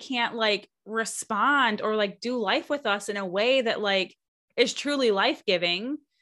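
A woman at a fairly high pitch, ordinary pitch variation, a plain, everyday voice. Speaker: podcast host and coach. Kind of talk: casual interview chat.

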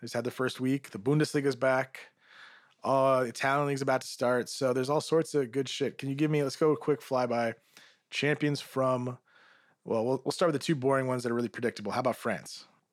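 A man's medium-pitched voice, monotone and flat, at a fairly quick pace on a very clean recording with a silent background. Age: 30s. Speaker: football podcast host. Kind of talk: casual chat.

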